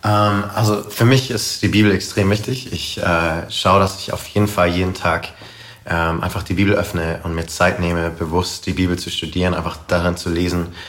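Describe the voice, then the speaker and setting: A man with a very deep, low pitch and fairly even intonation at a moderate pace, plus audible room echo and noticeable background noise. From Karlsruhe, southwestern Germany. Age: 20s. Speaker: missionary and worship leader. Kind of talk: casual interview. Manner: hesitant, many fillers.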